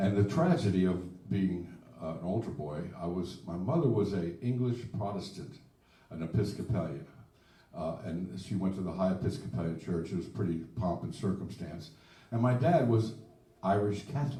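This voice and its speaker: The intonation is lively and the pace moderate. Some room echo can be heard. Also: man, very deep, low pitch for a man. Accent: American. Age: 70s. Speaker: blues singer-songwriter. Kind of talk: casual chat. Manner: halting.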